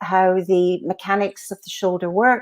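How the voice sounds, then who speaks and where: A woman with a Glaswegian accent at a moderate pace. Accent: Glaswegian Scottish, noticeable. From Scotland, Glasgow. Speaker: physiotherapist. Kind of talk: conference lecture. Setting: virtual conference.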